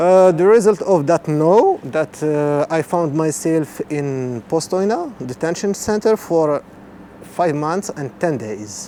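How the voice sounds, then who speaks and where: A man with an Arabic accent at a very slow pace, fairly high-pitched, with lively intonation over noticeable background noise. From Morocco, Marrakesh. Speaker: refugee and interpreter. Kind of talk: testimony. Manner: halting.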